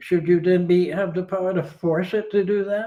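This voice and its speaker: A man's high-pitched voice with an American accent. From United States. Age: 80s+. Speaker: retired philosopher and ski teacher. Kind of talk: interview.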